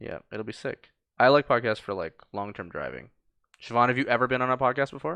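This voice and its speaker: A man's medium-pitched, bright, sharp voice with vocal fry, a fairly quick pace and big swings in loudness, in a dry, close sound with no echo against a quiet background. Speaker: podcast host. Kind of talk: casual chat. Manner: fast.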